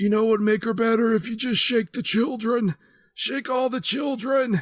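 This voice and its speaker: A put-on character voice from a man, extremely high in pitch, at a moderate pace. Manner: frantic, intense.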